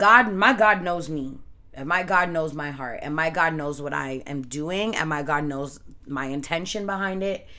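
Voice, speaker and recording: Amid audible room echo, a woman talks at a moderate pace in a very deep, low pitch with lively intonation and a bright, sharp tone. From Canada, of Jamaican parents. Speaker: podcast host, tarot reader. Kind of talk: casual solo podcast monologue.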